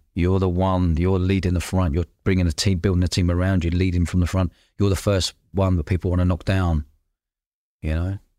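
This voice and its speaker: A man with a very deep, low voice speaks at a fairly quick pace in a flat monotone, recorded very cleanly and dry and close with no echo, against a silent background and at very even loudness. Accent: London. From London. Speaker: podcast host and entrepreneur. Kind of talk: casual interview chat. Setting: in person at guest's place.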